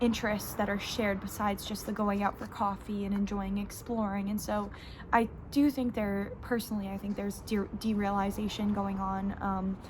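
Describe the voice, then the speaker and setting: A woman talks at a medium pitch and a moderate pace. Her intonation is monotone and flat. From New York. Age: 20s. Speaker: book YouTuber. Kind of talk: book review monologue. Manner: hesitant, many fillers.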